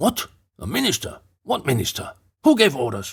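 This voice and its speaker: Putting on a shrill, high-pitched character voice, a man speaks at a moderate pace. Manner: frowning, irritated.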